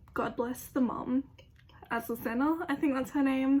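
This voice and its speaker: A woman with an Australian accent, high-pitched, with ordinary pitch variation. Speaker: youtuber. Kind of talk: casual opinion monologue. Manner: casual, filler-heavy.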